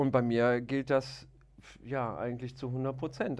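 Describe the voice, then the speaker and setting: On a very clean recording with a silent background, a man talks at a very slow pace in a medium pitch with monotone, flat intonation. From Aachen, western Germany. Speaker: hunter and video show presenter. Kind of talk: casual chat. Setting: studio.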